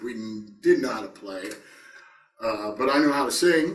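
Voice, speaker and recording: In an American accent, a man speaks at a moderate pace with ordinary pitch variation, and the room echo is audible. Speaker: rock singer. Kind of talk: interview. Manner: hesitant, many fillers.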